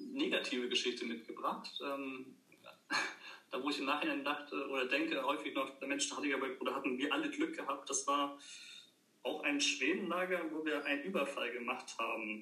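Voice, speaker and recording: A man talks at a moderate pace amid noticeable background noise. There is audible room echo. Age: 30s. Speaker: former scout and camp medic. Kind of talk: casual chat.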